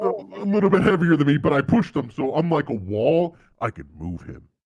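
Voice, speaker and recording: Doing a put-on character voice, a man talks at a fairly quick pace with a fairly high pitch, very wide pitch swings and big swings in loudness. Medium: actual play.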